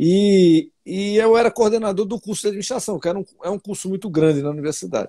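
A man speaks at a very fast pace with hardly any pauses, his pitch high and his tone dark and mellow. The sound is dry with no echo, the background quiet, and his pitch varies in an ordinary way. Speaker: technology park president and finance professor; finance professor. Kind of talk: interview. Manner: halting. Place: home room. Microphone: earbuds.

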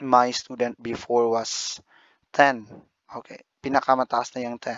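Very slowly, a man speaks at medium pitch in a monotone, flat voice. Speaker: YouTuber and online ESL teacher. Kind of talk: vlog talk.

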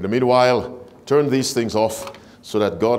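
A man at a medium pitch talks over light background noise. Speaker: preacher. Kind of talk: sermon. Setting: church; stage with audience. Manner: animated, call-and-response; warm, engaging with congregation. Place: church. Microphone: lapel.

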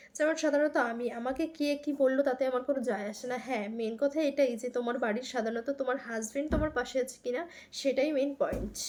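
Fairly even intonation shapes a woman's high-pitched speech. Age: 20s. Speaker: vlogger. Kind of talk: casual vlog talk to camera.

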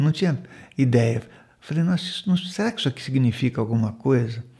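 Against a quiet background, a man speaks at a medium pitch, somewhat breathy. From Brazil, Manaus, Amazonas; Amazonas, Brazil. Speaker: spiritual center host. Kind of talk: monologue talk show on spirituality. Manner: conversational, with frequent fillers. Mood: calm, warm, reflective. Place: home room. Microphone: studio mic.

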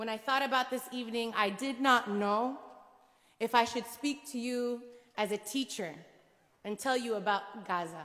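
Her tone bright and sharp, a woman speaks with long, frequent pauses. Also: ordinary pitch variation, moderate pace, quiet background. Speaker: public speaker. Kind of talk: speech. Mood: earnest, emotional. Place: church. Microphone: podium.

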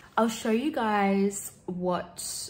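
The speaker is a woman with an Australian accent. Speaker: lifestyle vlogger. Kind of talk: casual vlog talk to camera. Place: home room. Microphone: phone near.

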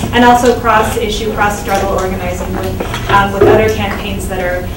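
A woman's voice with audible room echo and loud background noise. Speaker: guest. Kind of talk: talk to workshop audience. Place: classroom.

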